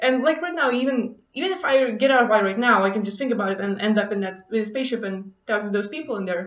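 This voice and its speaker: Speaking very fast with a non-native accent, a woman uses a fairly high pitch and lively intonation. Room echo is audible. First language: not English. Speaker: vlogger. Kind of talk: casual monologue to camera, personal story. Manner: casual, hesitant with many fillers. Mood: relaxed, enthusiastic storytelling. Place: home room. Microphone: webcam.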